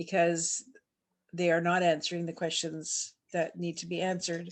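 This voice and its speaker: A woman speaks in a fairly low, monotone, flat voice against a quiet background. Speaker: community activist. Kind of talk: speech at online community meeting. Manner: halting.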